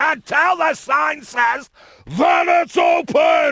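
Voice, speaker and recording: Shouting in a put-on character voice, a man speaks at an extremely high pitch and a very slow pace. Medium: video game. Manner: gruff, officious.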